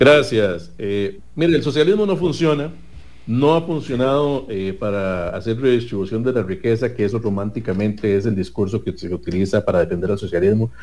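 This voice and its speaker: A man with an ordinary speaking voice talks at a medium pitch and a moderate pace, with lively intonation. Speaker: legislative candidate, consumer rights advocate. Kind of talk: political debate.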